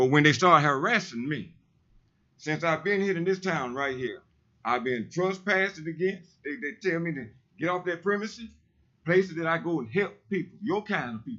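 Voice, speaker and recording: A loud, animated voice at a moderate pace with lively intonation. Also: man, high pitch for a man. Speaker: public commenter, street preacher. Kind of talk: public comment at city council. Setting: city council meeting.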